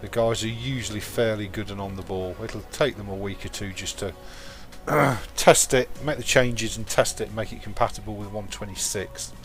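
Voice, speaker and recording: Against music in the background, a man talks at a fairly quick pace in a fairly low pitch, with fairly even intonation and big swings in loudness. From England. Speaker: gaming live streamer. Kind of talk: live gameplay commentary. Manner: casual, chatty.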